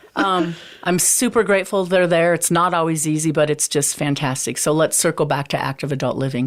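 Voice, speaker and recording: A woman with an unremarkable speaking voice, fairly low pitch, lively intonation and an American accent, in a very clean recording with a silent background. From eastern Montana. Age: 50s. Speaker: realtor. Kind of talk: podcast interview.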